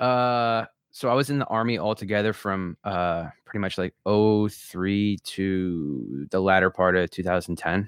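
With hardly any pauses, a man in a plain, everyday voice speaks at a fairly slow pace, fairly low in pitch with ordinary pitch variation. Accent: American. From US Northeast (southern New Jersey). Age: 30s. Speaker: army veteran, lead generation business owner. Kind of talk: casual chat.

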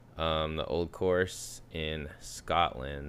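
An American accent with ordinary pitch variation. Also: man. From US West Coast. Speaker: podcast co-host. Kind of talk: casual chat.

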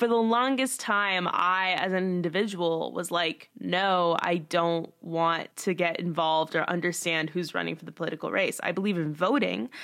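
Talking at a moderate pace, a woman with an unremarkable speaking voice and fairly low pitch uses ordinary pitch variation. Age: 20s. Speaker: student podcast host. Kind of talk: casual chat.

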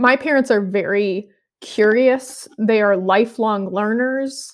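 A woman speaks with an American accent in an ordinary speaking voice, her pitch fairly high and her intonation fairly even. The recording is very clean, with a silent background. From US Midwest (Michigan, then St. Louis area). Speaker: high school Bible teacher. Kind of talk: casual interview.

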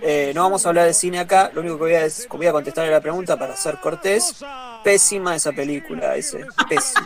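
Over noticeable background noise, a man with a Rioplatense accent talks fairly quickly in a high voice with ordinary pitch variation. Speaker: football stream co-host. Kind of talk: casual chat. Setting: online group call.

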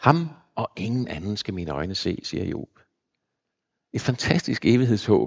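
A man with a fairly low pitch talks at a fairly slow pace with long, frequent pauses. His pitch swings very widely. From Zealand, Denmark (Copenhagen area). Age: 60s. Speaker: pastor. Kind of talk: sermon. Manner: halting.

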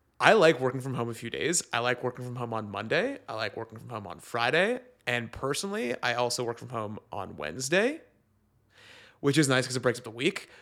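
A man with an ordinary speaking voice and medium pitch talks at a fairly quick pace with lively intonation and big swings in loudness. The recording is very clean, with a silent background. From Toronto, Canada. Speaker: guest. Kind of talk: casual comedic chat.

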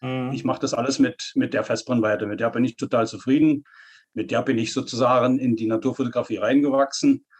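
A man with a Saxony-Anhalt accent talks fairly quickly at a medium pitch. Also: fairly even intonation. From Saxony-Anhalt, eastern Germany. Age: 50s. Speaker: nature photographer. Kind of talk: interview.

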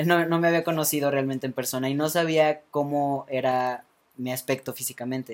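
A man with a plain, everyday voice talks at a fairly high pitch and a fairly quick pace, keeping his intonation fairly even. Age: 20s. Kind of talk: casual interview. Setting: studio with small live audience.

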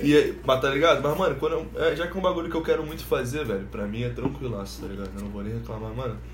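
A man talks at a very fast pace with hardly any pauses and big swings in loudness. Audible room echo and noticeable background noise fill the recording. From Rio de Janeiro (Ilha do Governador, Nova Iguaçu). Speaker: podcast host. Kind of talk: casual chat.

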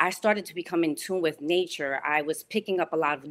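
Speaking at a fairly quick pace with an American accent, the voice shows ordinary pitch variation. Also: woman. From US Northeast (Bronx, New York). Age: 40s. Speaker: real estate professional and Orisha priestess. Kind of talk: interview, personal testimony.

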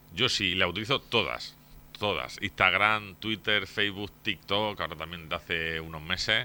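A man with a very deep, low pitch, ordinary pitch variation and a moderate pace. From Torre Pacheco, Murcia, Spain. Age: 30s. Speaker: mayoral candidate, politician. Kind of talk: radio interview.

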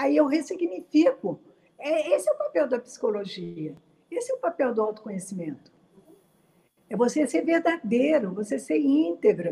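Speaking fairly slowly with vocal fry and a dark, mellow tone, the voice swings very widely in pitch. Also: woman. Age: 70s. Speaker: psychologist. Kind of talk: interview on quarantine mental health, live stream. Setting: live stream.

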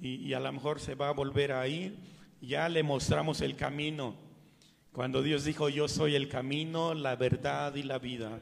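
In a plain, everyday voice, a man with a fairly high pitch speaks at a fairly slow pace with fairly even intonation. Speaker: pastor. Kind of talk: sermon. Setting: church. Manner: fervent, pleading, slow, with pauses and repeated 'Señor'.

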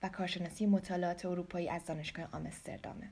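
A woman with a Persian accent speaks in a fairly low pitch, her voice somewhat breathy. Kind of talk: scripted introduction read aloud in Persian.

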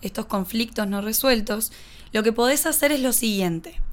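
A woman with a Uruguayan accent is heard on a very clean recording against a silent background. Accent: Rioplatense Spanish (Uruguayan). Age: 20s. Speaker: podcast host, personal development coach. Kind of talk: instructional monologue.

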